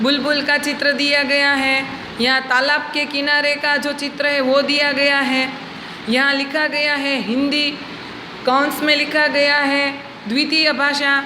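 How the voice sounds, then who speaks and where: A woman with a high pitch speaks in a monotone, flat way at very even loudness. Audible room echo and noticeable background noise surround her. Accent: Gujarati. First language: Gujarati (speaking Hindi). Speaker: schoolteacher. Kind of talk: lecture. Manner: slow, clear.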